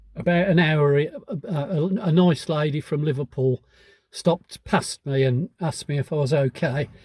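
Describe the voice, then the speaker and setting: The voice is somewhat breathy, moving at a moderate pace with ordinary pitch variation in a dry, close sound with no echo. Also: man, fairly high pitch for a man. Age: 70s. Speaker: hiking vlogger. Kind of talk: casual vlog monologue. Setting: in a pub. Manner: halting.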